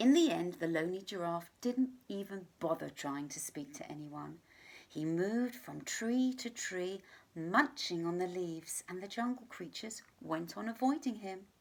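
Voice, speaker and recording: A woman with an unremarkable speaking voice, medium pitch, moderate pace, lively intonation and big swings in loudness. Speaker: teacher reading a story to pupils. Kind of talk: children's story read-aloud. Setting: home recording for remote learning.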